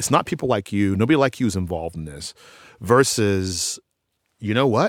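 At a fairly quick pace, a man with an American accent and a plain, everyday voice speaks at a fairly low pitch with lively intonation and big swings in loudness, the sound dry and close with no echo on a very clean recording with a silent background. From Austin, Texas. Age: 40s. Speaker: professor of education. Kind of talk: interview.

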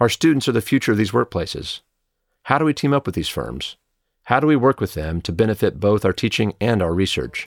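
A man with vocal fry talks fairly quickly at a fairly low pitch with very wide pitch swings, his sound dry and close with no echo on a very clean recording with a silent background. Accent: American. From Oklahoma. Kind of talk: scripted address.

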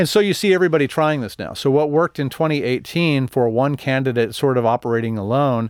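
An unremarkable speaking voice with an American accent. The pace is fairly quick. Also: man. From Texas, El Paso. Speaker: political journalist. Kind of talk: casual interview.

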